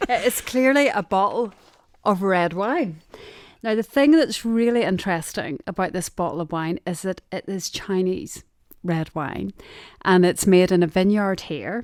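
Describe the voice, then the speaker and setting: In a strong Derry accent, a woman talks at a fairly slow pace with lively intonation, on a very clean recording with a silent background. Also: medium pitch for a woman. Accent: Derry accent, still strong. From Northern Ireland, Derry. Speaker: sourcing manager. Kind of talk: interview conversation.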